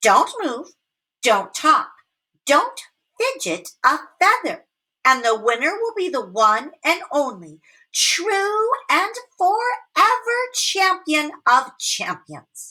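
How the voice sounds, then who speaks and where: A put-on character voice from a woman, pitched extremely high, very slow, with very wide pitch swings. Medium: read story. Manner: boastful.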